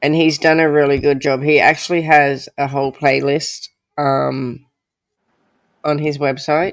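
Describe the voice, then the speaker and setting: Someone with an Australian accent speaks at a moderate pace. The recording is very clean, with a silent background. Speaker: true crime livestream host. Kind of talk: casual livestream chat.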